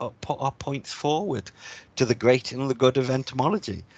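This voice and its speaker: The sound is dry and close, with no echo. A man talks at medium pitch and a moderate pace. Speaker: PhD student teaching undergraduate bioethics. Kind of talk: recorded lecture. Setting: recorded class with slides. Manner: halting, with fillers.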